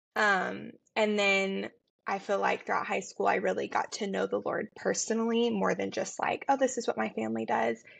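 A woman's moderately paced speech is heard with a quiet background. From US South, Tennessee. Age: 20s. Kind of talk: casual chat.

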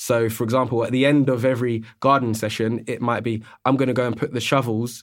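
A man with a London accent speaks at a medium pitch and a moderate pace. His intonation is monotone and flat, in a very clean recording with a silent background. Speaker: physical therapist. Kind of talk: casual interview chat.

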